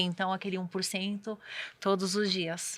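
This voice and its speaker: The woman's voice has a bright, sharp tone. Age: 30s. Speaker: guest author. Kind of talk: interview testimony.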